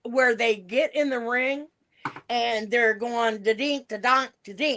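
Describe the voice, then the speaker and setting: Speaking very slowly in an American accent, this voice has a bright, sharp tone and big swings in loudness. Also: woman. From US Pacific Northwest, Portland, Oregon. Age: 60s. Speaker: retired professional wrestler. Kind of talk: interview.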